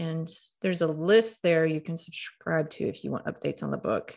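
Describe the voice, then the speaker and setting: On a very clean recording with a silent background, a woman with a Southern US accent speaks at a fairly low pitch with fairly even intonation. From Mississippi (Starkville). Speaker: author and storyteller. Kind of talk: interview.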